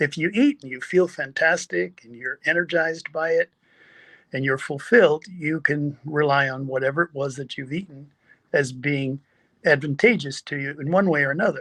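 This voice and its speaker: A man's fairly high, bright and sharp voice at a moderate pace, with ordinary pitch variation, dry, close sound with no echo and a quiet background. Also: big swings in loudness. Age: 70s. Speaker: health practitioner and teacher. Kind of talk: motivational talk. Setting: virtual summit.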